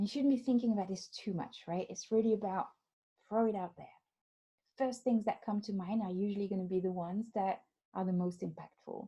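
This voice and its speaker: Speaking with a French accent, a woman uses a medium pitch, a dark, mellow tone and a somewhat breathy quality. She moves at a fairly quick pace with ordinary pitch variation. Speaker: life coach. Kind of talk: webinar. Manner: animated.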